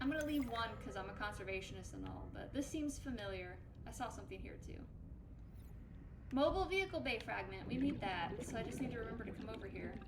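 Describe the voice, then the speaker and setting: A woman speaks at a very fast pace, with audible room echo and noticeable background noise around her. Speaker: aquatic scientist gaming streamer. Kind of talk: gameplay commentary. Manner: animated.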